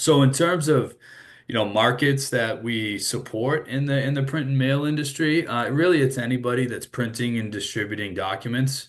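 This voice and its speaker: A man with a Boston accent, medium pitch and moderate pace. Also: ordinary pitch variation. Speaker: sales executive. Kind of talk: webinar presentation. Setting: online webinar with screen share.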